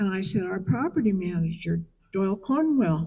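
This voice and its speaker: A woman with a medium pitch and a dark, mellow, somewhat breathy tone speaks at a fairly slow pace with lively intonation. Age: 80s+. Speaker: memorial speaker, friend of the deceased. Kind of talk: eulogy. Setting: memorial service.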